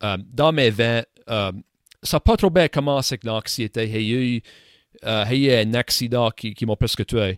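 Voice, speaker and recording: On a very clean recording with a silent background, a man has a normal speaking voice at a medium pitch with ordinary pitch variation. He talks at a fairly slow pace in a dry, close sound with no echo. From Nova Scotia, Canada (Acadian). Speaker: podcast host. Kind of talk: casual chat.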